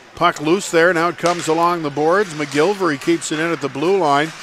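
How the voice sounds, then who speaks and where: A man speaks over light background noise. His voice sounds dry, with no echo. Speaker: hockey play-by-play commentator. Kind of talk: live hockey commentary. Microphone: headset.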